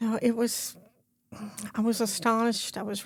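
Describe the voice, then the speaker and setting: A woman speaks in a fairly high pitch at a moderate pace. Her voice is somewhat breathy. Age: 70s. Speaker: murder victim's mother. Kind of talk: interview. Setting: studio.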